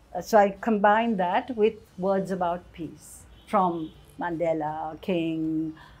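Faint music plays in the background as a woman speaks at a fairly low pitch with ordinary pitch variation. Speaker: interviewee. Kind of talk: interview answer. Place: workshop. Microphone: lapel.

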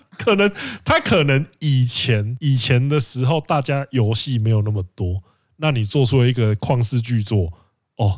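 A man with a Taiwanese accent, medium in pitch, fairly slow, with lively intonation and very even loudness, in a very clean recording with a silent background. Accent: Taiwanese Mandarin. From Penghu, Taiwan. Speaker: podcast co-host. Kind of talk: casual chat.

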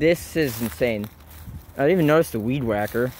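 A man talks at a moderate pace with ordinary pitch variation. The sound is dry with no echo, with light background noise. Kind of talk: casual vlog narration. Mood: amazed, excited. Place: forest. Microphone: phone near.

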